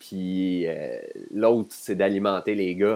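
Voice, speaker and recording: Very slowly, a man speaks in a fairly low voice. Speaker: hockey analyst. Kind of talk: casual chat.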